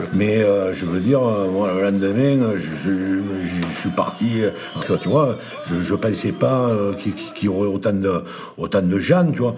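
Over noticeable background noise and audible room echo, a man with a fairly low voice and ordinary pitch variation talks at a fairly slow pace. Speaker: bar owner. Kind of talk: documentary interview, casual anecdotes.

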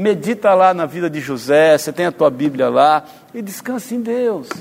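There is noticeable background noise behind this man. His pitch swings very widely. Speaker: preacher. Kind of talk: sermon. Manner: animated.

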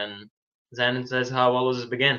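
A man talks with a Ukrainian accent. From Ukraine, Lviv. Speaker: boxer. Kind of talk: interview.

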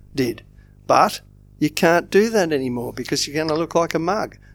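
Recorded very cleanly against a silent background, a man with an Australian accent talks at a moderate pace, his fairly high pitch showing ordinary variation. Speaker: football fan podcast co-host. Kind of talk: casual chat.

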